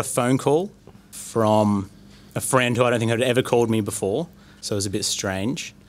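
With an Australian accent, a man speaks at medium pitch and a moderate pace, with ordinary pitch variation. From Australia, Bendigo. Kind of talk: personal testimony. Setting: live recording with audience at a university.

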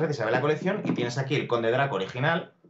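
An unremarkable speaking voice from a man, fairly high in pitch. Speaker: toy collector; guest. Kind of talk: casual chat. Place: home room. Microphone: video call.

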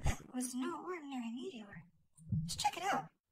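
A female-sounding, cartoonish character voice pitched high, with very wide pitch swings. It moves at a moderate pace. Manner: friendly, easygoing.

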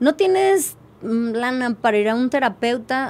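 This woman speaks at a fairly high pitch. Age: 50s. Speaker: life coach; podcast guest. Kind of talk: interview. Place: studio. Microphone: studio mic.

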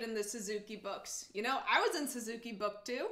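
An animated tone with audible room echo over a quiet background. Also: woman. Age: 20s. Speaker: cello teacher; teacher. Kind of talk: livestream Q&A. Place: home room. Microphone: webcam.

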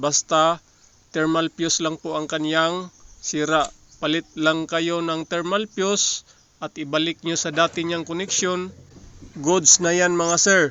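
A man with a high pitch speaks fairly slowly in a flat monotone, the sound dry with no echo and light background noise underneath. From Philippines. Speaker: appliance repair vlogger. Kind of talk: tutorial. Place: workshop. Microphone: phone near.

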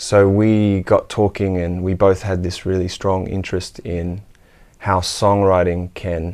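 The speaker talks in an Australian accent at a fairly slow pace. The intonation is monotone and flat, with a quiet background. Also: man. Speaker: musician and music teacher. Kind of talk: interview. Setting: home studio. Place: studio. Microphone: lapel.

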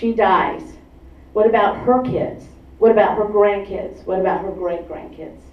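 Audible room echo surrounds a woman's voice with ordinary pitch variation. Her loudness swings widely. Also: moderate pace. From Atlanta, Georgia. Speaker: activist group director. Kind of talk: public talk. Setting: stage with audience. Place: hall.

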